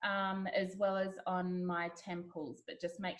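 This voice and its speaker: A woman speaks at a medium pitch. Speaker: essential oils presenter. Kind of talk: webinar presentation.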